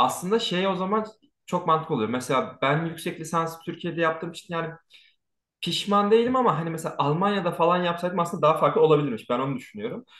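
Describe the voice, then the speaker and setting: Over a quiet background with audible room echo, a man with a high pitch talks at a very fast pace. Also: ordinary pitch variation. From Turkey. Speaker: YouTube channel host; host interviewer. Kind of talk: casual interview. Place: home room. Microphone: earbuds.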